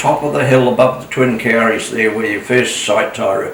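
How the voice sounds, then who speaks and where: Over noticeable background noise and audible room echo, a man with a New Zealand accent talks at a medium pitch. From New Zealand, Coromandel. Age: 80s+. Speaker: retired motel owner and local elder. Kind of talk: oral history interview. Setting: at home. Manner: halting.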